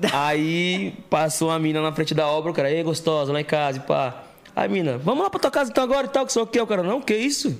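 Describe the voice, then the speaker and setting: Talking at a very fast pace with hardly any pauses, a man with a fairly high pitch makes very wide pitch swings. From Santo André, São Paulo state, Brazil. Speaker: podcast co-host. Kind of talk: casual chat.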